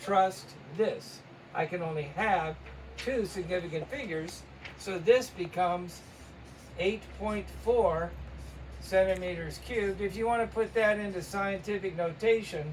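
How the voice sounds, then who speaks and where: A high-pitched man speaks at a fairly slow pace, with ordinary pitch variation and long, frequent pauses. Noticeable background noise is present. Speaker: chemistry teacher. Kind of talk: tutorial.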